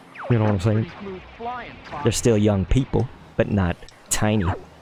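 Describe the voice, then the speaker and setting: A man with a fairly low pitch speaks in an animated tone amid noticeable background noise. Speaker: gaming streamer. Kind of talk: live gameplay commentary. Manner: casual.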